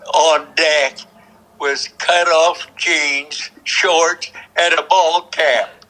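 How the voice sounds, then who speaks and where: A man at a very slow pace with fairly even intonation, over noticeable background noise. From Kansas. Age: 90s. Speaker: war veteran. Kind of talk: interview answer.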